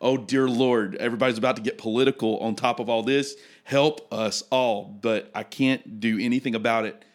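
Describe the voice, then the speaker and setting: A man with a Southern US accent speaks at medium pitch and a moderate pace, with fairly even intonation and hardly any pauses. The recording is very clean with a silent background. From Mississippi. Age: 30s. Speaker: pastor. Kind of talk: casual chat. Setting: studio. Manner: halting.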